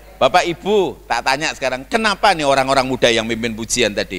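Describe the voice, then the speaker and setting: Loud and animated, a man speaks at a very fast pace in a bright, sharp tone with vocal fry and very wide pitch swings. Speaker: guest preacher. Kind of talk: sermon. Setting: church.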